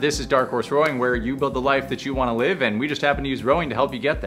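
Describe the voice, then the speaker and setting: At a very fast pace, a man talks while faint music sounds in the background. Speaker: rowing coach. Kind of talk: tutorial. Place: gym.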